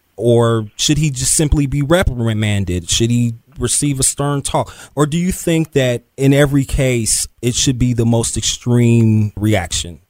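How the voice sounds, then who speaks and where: At a fairly slow pace, a man talks in an ordinary speaking voice with medium pitch and ordinary pitch variation. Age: 30s. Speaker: podcast host and web producer. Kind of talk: interview; casual chat.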